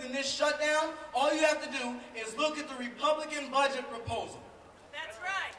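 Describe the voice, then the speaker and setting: A man with an American accent speaks in a raised, projected voice at an extremely high pitch and a fairly quick pace, with fairly even intonation. Light background noise and audible room echo are present. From St. Paul, Minnesota. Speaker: city council member. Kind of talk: rally speech. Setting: outdoors at rally. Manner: rhetorical, repeats lines for emphasis. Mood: passionate, combative. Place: street.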